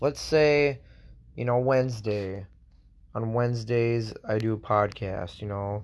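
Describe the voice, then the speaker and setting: Ordinary pitch variation in a man's voice of medium pitch. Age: 20s. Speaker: podcaster and National Guard soldier. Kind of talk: casual solo podcast monologue. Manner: rambling, casual, self-conscious.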